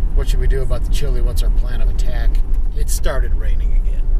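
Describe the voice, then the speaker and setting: Loud background noise surrounds a man talking at a fairly quick pace. The sound itself is dry, with no echo. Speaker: vlogger. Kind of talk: casual vlog chat. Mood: relaxed, humorous. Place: car. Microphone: camera far.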